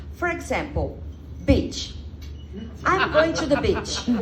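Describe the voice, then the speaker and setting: Speaking at a very slow pace, a woman has a Brazilian Portuguese accent. Audible room echo and noticeable background noise surround her voice. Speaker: comedian. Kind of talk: stand-up. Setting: stage with audience.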